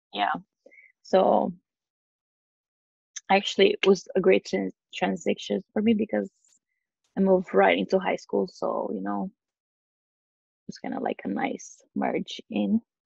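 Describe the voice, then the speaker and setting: Speaking at a fairly slow pace with long, frequent pauses, a woman with a Romanian accent is heard in a dry, close sound with no echo. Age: 20s. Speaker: guest on fitness podcast. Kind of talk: interview podcast.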